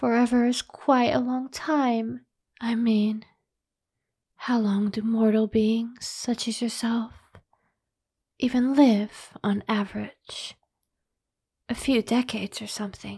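Soft-spoken with a gentle tone, a very slow pace and long, frequent pauses, against a quiet background. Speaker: voice actor in a role-play audio. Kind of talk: character role-play monologue to the listener. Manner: soft-spoken ASMR vampire, close and gentle. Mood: lazy, teasing, possessive.

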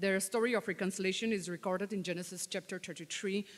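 A woman's medium-pitched voice at a moderate pace against a quiet background. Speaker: lay preacher; preacher. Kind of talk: sermon. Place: church. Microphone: podium.

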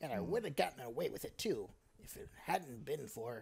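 A man uses a put-on character voice. He speaks at a moderate pace with a fairly high pitch. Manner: theatrical, exaggerated.

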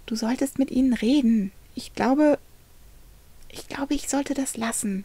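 Whispering in a shaky, put-on character voice, a woman speaks at a moderate pace. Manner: whispering, fearful.

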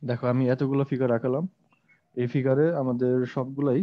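A man speaks. The background is quiet. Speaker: teacher. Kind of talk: lecture. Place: classroom. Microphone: lapel.

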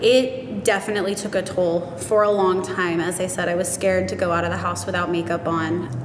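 A woman speaks in a fairly low pitch. Light background noise and audible room echo are present. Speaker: cosmetics retail worker and nutrition student. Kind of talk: interview answer. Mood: open, warm, sometimes emotional. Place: studio.

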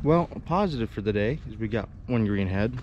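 Lively intonation from a man, dry sound with no echo and light background noise. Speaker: duck hunter vlogger. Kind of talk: casual vlog chat. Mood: mildly disappointed, upbeat. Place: waterside. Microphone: phone near.

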